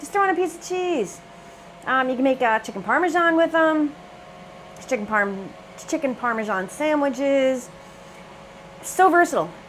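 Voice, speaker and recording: An animated delivery with very wide pitch swings at a moderate pace, plus noticeable background noise. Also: woman. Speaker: cooking channel host. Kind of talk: cooking tutorial.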